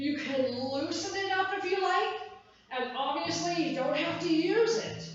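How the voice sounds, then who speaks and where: A woman speaks at an extremely high pitch in an energetic tone, at a fairly slow pace. There is noticeable background noise and audible room echo. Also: ordinary pitch variation. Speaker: fitness instructor. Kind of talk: workout class instruction. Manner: energetic counting cues.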